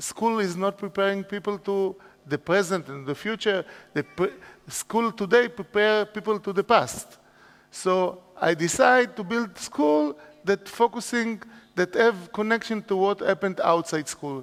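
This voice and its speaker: A man with an Israeli accent, high in pitch, speaking at a fairly slow pace with ordinary pitch variation. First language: Hebrew. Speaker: educator, school founder. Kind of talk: conference talk. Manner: halting.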